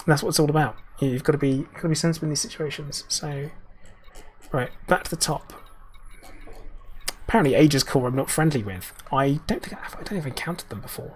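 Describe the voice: Raspy and at a fairly high pitch, a man talks at a fast pace with ordinary pitch variation, broken by long, frequent pauses.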